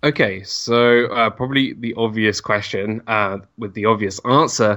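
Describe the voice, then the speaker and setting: A man with a London accent speaks at a fairly low pitch in a bright, sharp tone, at a moderate pace with fairly even intonation. The recording is very clean, with a silent background. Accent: British English, London. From northwest London, England. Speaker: YouTuber and former theme park cast member. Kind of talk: casual interview chat.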